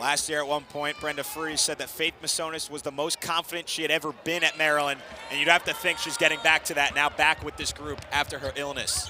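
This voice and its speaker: A man talks at a very fast pace in an energetic tone, with hardly any pauses. There is noticeable background noise. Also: fairly high pitch for a man. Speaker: TV sports play-by-play announcer. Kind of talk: live women's basketball play-by-play. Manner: fast, energetic.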